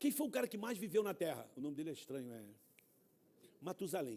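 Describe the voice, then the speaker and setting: A man's high-pitched voice with a dark, mellow tone and very wide pitch swings. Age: 60s. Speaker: guest preacher. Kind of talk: sermon. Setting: church. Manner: animated.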